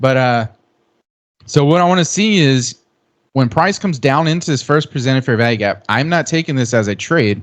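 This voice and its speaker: A man with an ordinary speaking voice talks at a fairly quick pace and a medium pitch, with lively intonation over a quiet background. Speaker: day trader. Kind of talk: live trading commentary.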